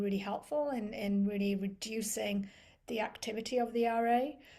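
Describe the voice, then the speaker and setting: A woman talks at a fairly slow pace in a dark, mellow tone. Her pitch is fairly high and her intonation fairly even. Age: 50s. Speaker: person with chronic illness. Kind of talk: casual chat.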